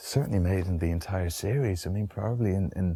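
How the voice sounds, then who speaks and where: Soft-spoken and somewhat breathy, a man talks at a moderate pace with a fairly low pitch, a relaxed tone and a dark, mellow sound, in a very clean recording with a silent background. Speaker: actor. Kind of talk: interview answer. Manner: soft-spoken, relaxed.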